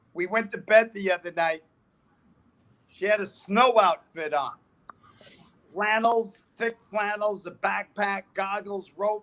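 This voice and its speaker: In a New York accent, a man speaks at a fairly slow pace with fairly even intonation. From US Northeast, New York City. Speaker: comedian. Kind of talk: stand-up.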